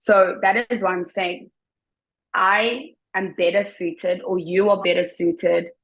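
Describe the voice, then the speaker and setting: A woman with a South African accent, fairly even intonation, and a fairly slow pace. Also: medium pitch for a woman. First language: Xhosa and Zulu. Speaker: teacher. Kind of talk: interview.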